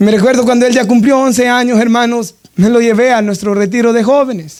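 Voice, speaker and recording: Fairly quick in pace, this man speaks at a high pitch. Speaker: pastor. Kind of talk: sermon.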